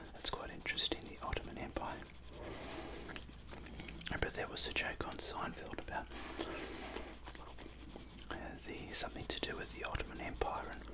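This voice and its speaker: Quiet whispering broken by long, frequent pauses over loud background noise. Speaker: drawing tutor. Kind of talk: casual drawing tutorial chat. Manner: quiet ASMR whisper. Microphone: phone near.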